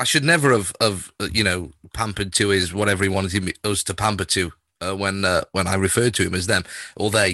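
Against a quiet background, a man with a northern English accent talks at a fairly quick pace in a bright, sharp tone and a fairly low pitch. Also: ordinary pitch variation. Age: 40s. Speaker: podcast host and music radio presenter. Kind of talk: casual interview. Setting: video call.

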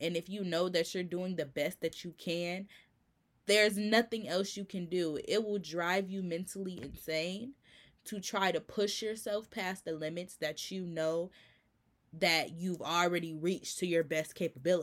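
A woman with an ordinary speaking voice and fairly low pitch speaks at a moderate pace with fairly even intonation on a very clean recording with a silent background. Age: 20s. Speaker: podcast host and college student. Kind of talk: casual solo talk.

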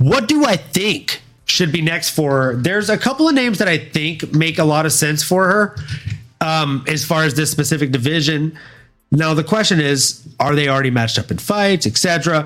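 With music in the background, a man with an American accent and a fairly high pitch speaks at a moderate pace with ordinary pitch variation. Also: very even loudness. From US South, Louisiana. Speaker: podcast host. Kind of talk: casual chat. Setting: live stream.

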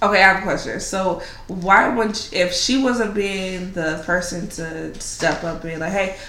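Noticeable background noise sits under speech that moves at a moderate pace. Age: 20s. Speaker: guest. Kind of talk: casual chat.

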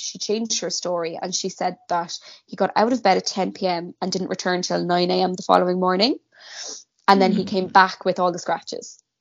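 Speaking with a Cork accent, a woman holds a medium pitch. Her intonation is monotone and flat, at a moderate pace. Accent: Cork Irish. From Ireland, Cork. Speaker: guest co-host. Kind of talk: casual chat, true crime storytelling.

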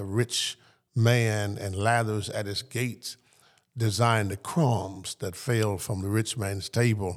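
Speaking with a Southern US accent, a man uses a fairly low pitch and fairly even intonation at a fairly slow pace. The recording is very clean, with a silent background. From US South. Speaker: pastor. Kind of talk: interview.

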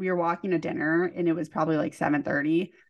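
A woman's fairly low-pitched voice with a Californian accent. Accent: Californian American. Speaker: podcast co-host. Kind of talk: casual chat.

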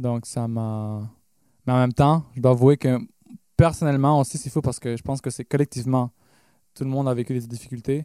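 A man with a medium-pitched, dark, mellow voice speaks at a fairly quick pace with fairly even intonation and long, frequent pauses. The sound is dry and close with no echo, on a very clean recording with a silent background. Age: 20s. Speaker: pop/rock musician. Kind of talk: casual interview. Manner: halting.

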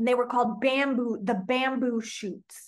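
A woman with a plain, everyday voice speaks with an American accent. Her pitch is fairly high and her pace moderate. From Oklahoma. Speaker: singer-songwriter and filmmaker. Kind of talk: casual interview conversation.

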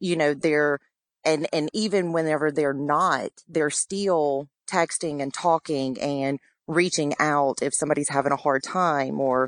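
A woman's very deep, low voice with a Louisiana accent, ordinary pitch variation and a moderate pace, dry and close with no echo, over a quiet background. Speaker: military spouse and community volunteer. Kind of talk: interview. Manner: hesitant with fillers.

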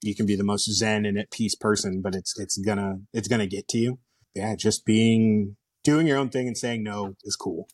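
Spotlessly clean audio of a man, the background totally silent and the sound close-miked and dry without any reverb. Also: fairly low pitch for a man, moderate pace. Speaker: youth sports coach and mentor. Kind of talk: casual interview chat.

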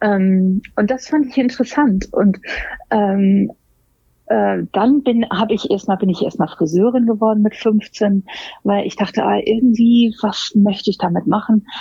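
A somewhat breathy woman's voice pitched fairly high. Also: ordinary pitch variation. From Germany, Hamburg. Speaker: make-up artist and hairstylist. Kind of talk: interview. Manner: frequent hesitations (ähm, äh).

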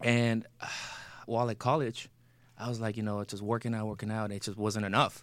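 Fairly quick speech from a man with a Spanish accent, medium in pitch and monotone, with flat intonation. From Mexico. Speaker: actor and military veteran. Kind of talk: casual interview chat; advice to callers.

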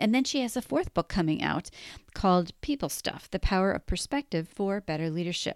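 Heard in a dry, close sound with no echo, a woman with a normal speaking voice talks at a fairly quick pace with lively intonation. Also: very clean recording, silent background. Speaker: podcast host. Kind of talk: interview, casual chat.

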